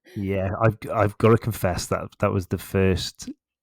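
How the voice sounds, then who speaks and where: Dry and close with no echo, the clip has a man with a West Country accent speaking in a very deep, low voice at a moderate pace. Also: very clean recording, silent background. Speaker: podcast host. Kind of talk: podcast interview.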